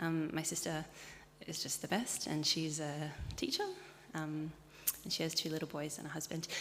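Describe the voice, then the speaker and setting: Amid noticeable background noise, a woman with an Australian accent speaks at a moderate pace in a very deep, low voice, with fairly even intonation and long, frequent pauses. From Sydney, Australia. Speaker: churchgoer. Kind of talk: interview.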